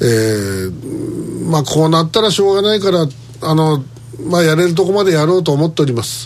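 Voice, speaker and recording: A man's fairly quick speech is accompanied by noticeable background noise. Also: fairly high pitch for a man, ordinary pitch variation. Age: 60s. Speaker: radio host. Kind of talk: casual chat.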